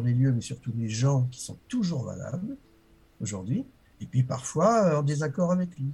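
A man with a dark, mellow, somewhat breathy tone speaks at a fairly slow pace with very wide pitch swings, on a very clean recording with a silent background. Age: 60s. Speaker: author and walker. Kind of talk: interview.

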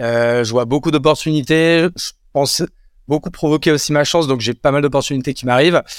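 Recorded very cleanly with a silent background and a dry, close sound free of echo, a man speaks at a moderate pace with fairly even intonation. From France, Champagne-Ardenne countryside. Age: 30s. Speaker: entrepreneur. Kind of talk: casual interview.

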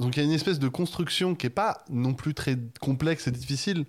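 A plain, everyday voice from a man, medium in pitch with ordinary pitch variation, on a very clean recording with a silent background. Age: 20s. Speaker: video essayist. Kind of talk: casual chat.

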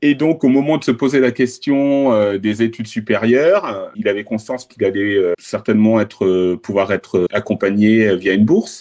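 The setting behind the speaker is quiet. A man talks in a dark, mellow tone. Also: medium pitch for a man, ordinary pitch variation, moderate pace, very even loudness. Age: 50s. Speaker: podcast guest, digital advertising professional. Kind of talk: interview testimony. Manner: hesitant, many fillers.

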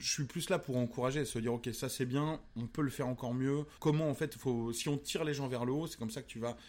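Medium in pitch, a man's voice moves at a fairly quick pace. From Vendée, western France. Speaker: radio host and comedian. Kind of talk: casual interview. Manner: halting with fillers; animated.

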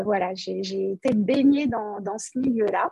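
A woman's fairly high, somewhat breathy voice with a dark, mellow tone and lively intonation. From Paris region, France. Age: 50s. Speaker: operations manager in industry. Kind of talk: interview podcast. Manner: hesitant, many fillers and repetitions.

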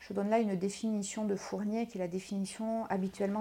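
Very fast and monotone, a woman delivers her words at a medium pitch with flat intonation. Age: 40s. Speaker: sports psychologist. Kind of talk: interview. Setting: recording on location.

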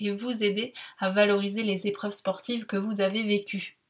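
Somewhat breathy at a medium pitch, a woman talks at a moderate pace. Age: 20s. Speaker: podcast host. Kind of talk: scripted narration.

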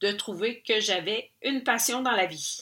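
Very slowly, a woman with a Quebec accent speaks in a bright, sharp tone at a medium pitch with ordinary pitch variation. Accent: Québécois French. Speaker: podcast host and painter. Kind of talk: personal storytelling monologue. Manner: casual, many hesitations.

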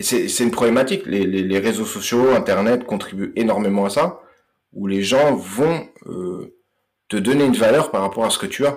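On a very clean recording with a silent background, a man of medium pitch speaks at a moderate pace with very wide pitch swings. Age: 30s. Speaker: mental coach for combat sports. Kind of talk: podcast interview. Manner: halting, many hesitations.

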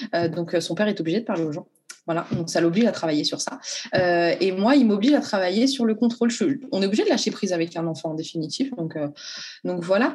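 Very fast, somewhat breathy delivery with lively intonation. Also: woman, medium pitch for a woman. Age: 30s. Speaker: school nurse. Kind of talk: testimony.

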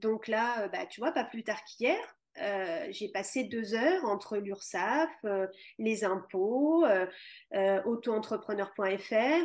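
A woman speaks fairly slowly at a fairly high pitch. Her pitch swings very widely over a quiet background. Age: 40s. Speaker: yoga teacher. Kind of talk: interview. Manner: halting.

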